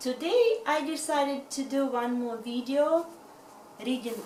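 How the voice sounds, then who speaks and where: A woman's high voice with a Russian accent, very slow and with ordinary pitch variation, over noticeable background noise. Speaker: reads books aloud in videos.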